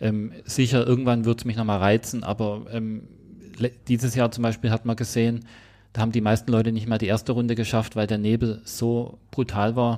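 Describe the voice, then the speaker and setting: With a dark, mellow tone, a man speaks in a flat monotone. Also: medium pitch for a man, moderate pace. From Swabia, southwest Germany. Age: 40s. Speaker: ultramarathon runner. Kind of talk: casual interview.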